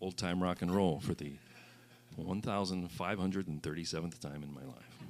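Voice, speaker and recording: A man with an American accent speaks at a moderate pace in a very deep, low voice with vocal fry, ordinary pitch variation and big swings in loudness. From US Midwest (central Illinois). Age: 60s. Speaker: singer-songwriter. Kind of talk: stage banter between songs. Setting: stage with audience.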